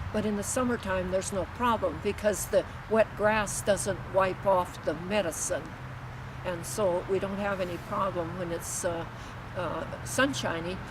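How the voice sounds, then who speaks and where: A woman of medium pitch speaks at a fairly slow pace with lively intonation. Noticeable background noise runs underneath. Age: 80s+. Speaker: farmer. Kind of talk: interview answer. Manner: hesitant, many filler sounds.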